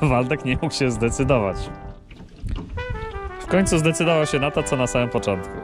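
Dry sound with no echo, a moderate pace and clear music in the background. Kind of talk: casual vlog chat. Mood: wry, joking. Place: boat. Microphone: phone near.

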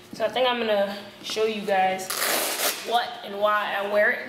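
Noticeable background noise behind a woman talking at a moderate pace. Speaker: vlog host. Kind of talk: casual vlog chat. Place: gym. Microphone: camera far.

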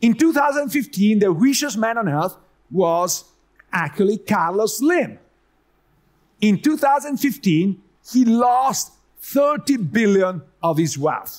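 Against a quiet background, a man with an Italian accent speaks at a very slow pace and high pitch. His voice makes very wide pitch swings, with long, frequent pauses. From Italy. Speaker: economics professor. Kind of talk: conference talk. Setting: stage with audience. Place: hall. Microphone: headset.

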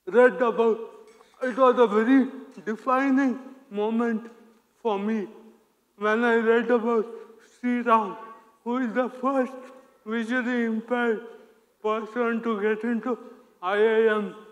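A man with an Indian accent, extremely high pitched, monotone and flat, at a fairly slow pace with long, frequent pauses against a quiet background. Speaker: operations analyst. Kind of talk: conference talk. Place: stage.

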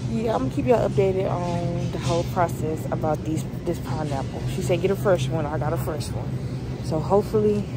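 Music plays in the background as a woman speaks at a fairly quick pace in a dry sound with no echo. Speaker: pregnant vlogger. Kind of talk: casual vlog chat. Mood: nervous, excited. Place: shop. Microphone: phone near.

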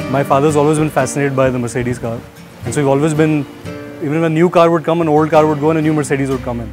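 A man talks very quickly while clear music is heard behind him. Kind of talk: interview answer. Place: garden. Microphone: lapel.

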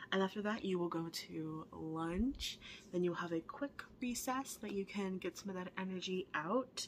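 Light background noise sits behind a soft-spoken woman. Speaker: teacher. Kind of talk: explaining a class schedule to students. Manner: soft-spoken ASMR roleplay voice. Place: classroom. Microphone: webcam.

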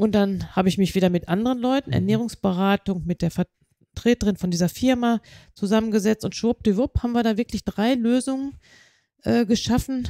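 In a very clean recording with a silent background and a dry, close sound with no echo, a woman with a dark, mellow tone speaks at a moderate pace with very even loudness and ordinary pitch variation. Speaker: nurse development specialist. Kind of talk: interview. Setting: on-site recording at hospital.

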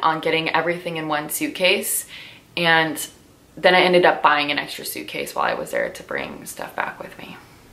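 A woman talks with an American accent. Her pitch is fairly low. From US West Coast (Southern California, Orange County); Southern California. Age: 30s. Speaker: lifestyle vlogger and yoga teacher; lifestyle vlogger, yoga teacher. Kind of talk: casual sit-down chat to camera. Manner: animated. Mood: relaxed, reflective. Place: home room.

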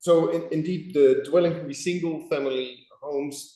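A man speaks with a European accent at a moderate pace. There is audible room echo. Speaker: property owner applicant. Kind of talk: public meeting presentation. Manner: hesitant, many fillers.

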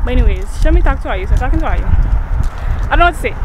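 Someone speaks at a very fast pace, the sound dry with no echo and the background noise noticeable. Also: woman. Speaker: vlogger. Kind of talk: casual vlog chat. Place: street. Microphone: phone near.

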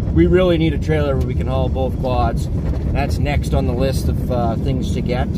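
A man's voice with ordinary pitch variation amid loud background noise. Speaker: hunter vlogger. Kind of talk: casual vlog chat. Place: car. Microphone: phone near.

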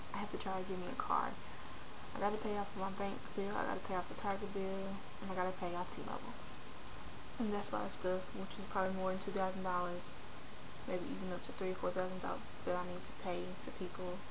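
Speaking at a very fast pace, a woman is heard with noticeable background noise behind her. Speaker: video blogger. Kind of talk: personal vlog rant. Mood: frustrated, venting. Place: home room. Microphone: webcam.

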